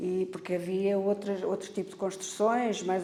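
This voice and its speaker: With noticeable background noise behind her, a woman speaks at a medium pitch in a monotone, flat intonation. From Portugal, Arruda dos Vinhos (Lisbon district). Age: 70s. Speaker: local resident interviewee. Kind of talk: oral history interview.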